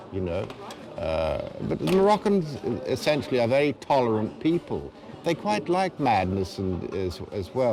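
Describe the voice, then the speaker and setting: Noticeable background noise sits behind this man. His medium-pitched voice makes very wide pitch swings. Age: 60s. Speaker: expatriate local resident. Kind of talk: casual conversation.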